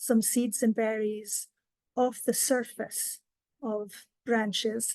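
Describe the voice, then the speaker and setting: Speaking in a Scottish accent, a woman has a fairly high pitch and a dark, mellow tone. She talks at a very slow pace with fairly even intonation. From Scotland. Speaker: wildlife education coordinator. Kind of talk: educational presentation.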